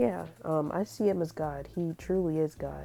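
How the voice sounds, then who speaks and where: Over music in the background, a woman speaks at a very deep, low pitch. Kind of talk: casual talk to camera, faith testimony. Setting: earbud microphone. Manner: casual, conversational.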